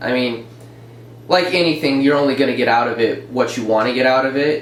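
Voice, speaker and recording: In a room with audible echo and noticeable background noise, a man of medium pitch talks at a fairly quick pace with fairly even intonation. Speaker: former program student, construction worker. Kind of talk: casual chat. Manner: mellow.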